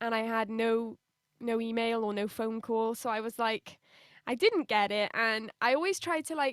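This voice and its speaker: A fairly high-pitched woman's voice with a British accent, ordinary pitch variation, and a moderate pace, dry and close with no echo in a very clean recording with a silent background. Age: 20s. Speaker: singer. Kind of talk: interview.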